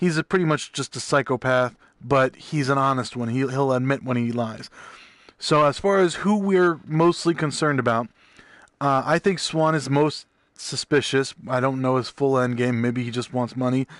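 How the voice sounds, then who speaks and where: Against a quiet background, a man with a medium pitch and ordinary pitch variation is heard in a dry, close recording with no echo. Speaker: video game streamer. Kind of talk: gameplay commentary. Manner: fast.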